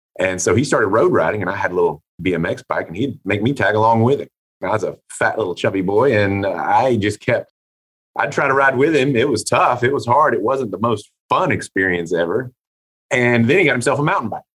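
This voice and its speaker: A man's normal speaking voice at medium pitch, with an American accent, a fairly quick pace and lively intonation. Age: 40s. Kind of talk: interview.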